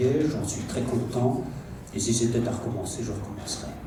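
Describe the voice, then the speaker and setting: Male speech at a fairly low pitch with ordinary pitch variation, audible room echo and noticeable background noise. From Germany (Belgian family abroad). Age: 60s. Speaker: army physical education officer. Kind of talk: round-table talk. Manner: hesitant.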